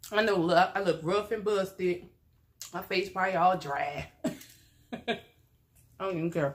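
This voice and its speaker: A woman keeps a moderate pace, her intonation fairly even. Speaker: mukbang vlogger. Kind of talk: casual vlog chat. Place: home room. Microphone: phone near.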